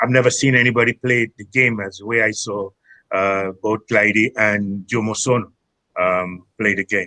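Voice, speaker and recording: A bright, sharp voice in a Trinidadian accent, fairly even in intonation at a moderate pace, dry and close with no echo. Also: man, fairly low pitch for a man. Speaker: former footballer, tournament founder. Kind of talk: podcast interview. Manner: halting, many fillers.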